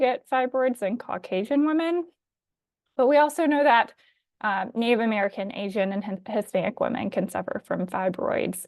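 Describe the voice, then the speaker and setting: A woman with a slight Alabama accent at a moderate pace, ordinary pitch variation, quiet background. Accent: slight Southern US, Alabama. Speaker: physician assistant. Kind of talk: webinar presentation. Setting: live online webinar. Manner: frequent um fillers.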